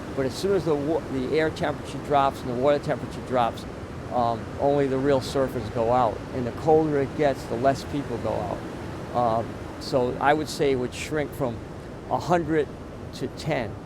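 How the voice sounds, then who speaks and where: A man speaks at a medium pitch with fairly even intonation, his voice carrying audible room echo over noticeable background noise. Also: moderate pace. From Rhode Island. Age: 60s. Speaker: veteran surfer and surf instructor. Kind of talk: interview.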